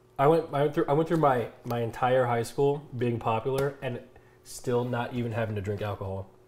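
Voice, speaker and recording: A man speaks at a fairly quick pace with ordinary pitch variation, over light background noise. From US Midwest. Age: 20s. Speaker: streamer. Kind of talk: casual chat. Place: kitchen. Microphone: lapel.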